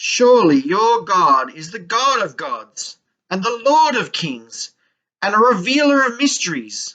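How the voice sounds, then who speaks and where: Using a put-on character voice, a woman speaks at a fairly high pitch and fairly slow pace, with big swings in loudness. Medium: read story. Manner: commanding.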